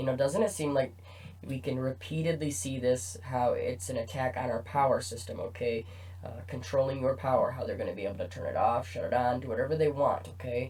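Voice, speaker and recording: A somewhat breathy male voice at a medium pitch. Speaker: conspiracy commentator YouTuber. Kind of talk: casual commentary over news articles. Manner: hesitant with many fillers.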